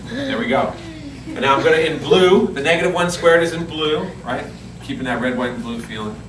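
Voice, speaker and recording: A man with a fairly high voice talks at a fairly quick clip with lively intonation, over audible room echo and noticeable background noise. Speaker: math teacher. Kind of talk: classroom lesson. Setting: classroom with students.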